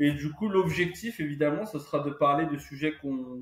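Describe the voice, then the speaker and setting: This man has a fairly high pitch with ordinary pitch variation and talks at a moderate pace. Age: 30s. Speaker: podcast co-host. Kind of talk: casual chat. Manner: halting, many fillers.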